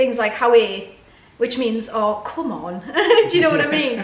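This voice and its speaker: With a northeast English accent, a woman speaks in a fairly high pitch with lively intonation. Audible room echo and noticeable background noise accompany her. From northeast England. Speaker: YouTuber. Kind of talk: casual chat.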